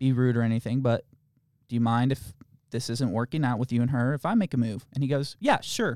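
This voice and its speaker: Talking at a very fast pace, a man keeps a medium pitch and fairly even intonation. The sound is dry and close, with no echo. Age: 20s. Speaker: podcast co-host. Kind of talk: casual chat. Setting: studio.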